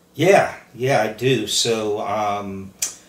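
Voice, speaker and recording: Speaking at a medium pitch, a man can be heard with audible room echo and noticeable background noise. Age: 50s. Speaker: recovering alcoholic sharing his story. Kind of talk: testimony.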